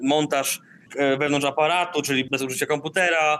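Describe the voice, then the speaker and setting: Here is a man with a normal speaking voice, fairly high in pitch. His pace is fairly quick and his intonation fairly even. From northern Poland, Darłowo. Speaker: artist and community space founder. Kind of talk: interview. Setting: remote call from Indonesia.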